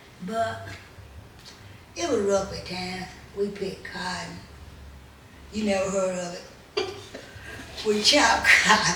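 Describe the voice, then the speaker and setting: The speaker moves at a fairly slow pace with long, frequent pauses and fairly even intonation, while audible room echo and noticeable background noise fill the recording. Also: woman, medium pitch for a woman. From US South, western Tennessee. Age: 90s. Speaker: grandmother telling her life story. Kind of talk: casual interview.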